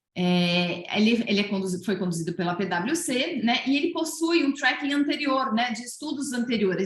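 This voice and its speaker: The woman's voice is high and swings very widely in pitch. She talks at a fairly quick pace. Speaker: research presenter at coaching event. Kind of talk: presentation of survey results. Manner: fast; hesitant, many fillers.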